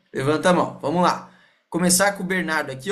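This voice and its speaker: An animated man with a high pitch, and audible room echo. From Rio Grande do Sul, Brazil (Porto Alegre). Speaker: sales team leader. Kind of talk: online team meeting / training. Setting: video call. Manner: casual, animated.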